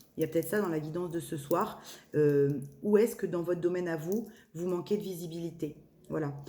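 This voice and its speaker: There is noticeable background noise behind a woman speaking at a fairly low pitch. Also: ordinary pitch variation, fairly quick pace. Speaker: medium doing tarot channelings. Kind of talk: spiritual guidance reading. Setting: evening video recording. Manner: hesitant, many fillers.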